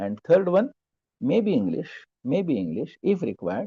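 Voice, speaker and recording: In an Indian accent, the speaker uses a dark, mellow tone with vocal fry and very wide pitch swings at a moderate pace, the sound dry and close with no echo. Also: man. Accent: Marathi-accented Indian English. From Maharashtra, India. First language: Marathi. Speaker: professor. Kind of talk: lecture. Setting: video call.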